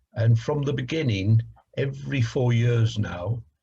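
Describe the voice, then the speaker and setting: A man speaks in a somewhat breathy voice. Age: 60s. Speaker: council leader. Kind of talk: interview. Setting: video call. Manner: hesitant, many fillers.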